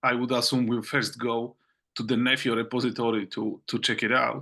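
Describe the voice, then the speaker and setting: Over a quiet background, a man with a non-native accent talks at a moderate pace in a medium-pitched voice with a bright, sharp tone. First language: not English. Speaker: open source project meeting chair. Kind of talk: online work meeting. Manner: halting, many fillers and repetitions.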